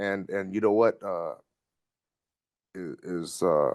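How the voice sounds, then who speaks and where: Speaking very slowly with an American accent, the voice has a dry, close sound with no echo. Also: man. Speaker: community reentry manager, formerly incarcerated. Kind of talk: interview testimony. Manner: loud; halting, many fillers and repetitions.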